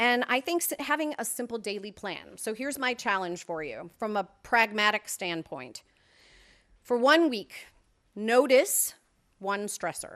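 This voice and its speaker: A woman talks in a normal speaking voice, pitched fairly high, with lively intonation. Her pace is fairly slow. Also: very clean recording, silent background. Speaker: wellness presenter. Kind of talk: presentation.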